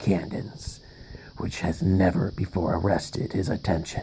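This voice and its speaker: A man whispers in a put-on character voice. His tone is dramatic. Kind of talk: horror narration. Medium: read story. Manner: dramatic, halting.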